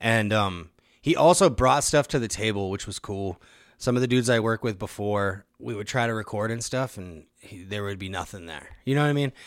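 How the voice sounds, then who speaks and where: A man with an American accent uses a normal speaking voice, fairly low in pitch, talking at a fairly quick pace with big swings in loudness on a very clean recording with a silent background. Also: ordinary pitch variation. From Nebraska (Omaha). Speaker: rapper. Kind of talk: casual chat.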